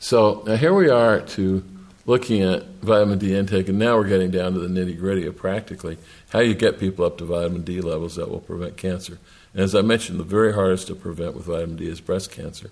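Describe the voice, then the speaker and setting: A man with a very deep, low pitch, fairly even intonation and a very fast pace. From Argentina. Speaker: medical researcher. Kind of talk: lecture.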